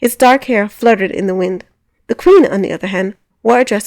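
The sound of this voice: An unforced reading voice carries ordinary pitch variation. The background is quiet.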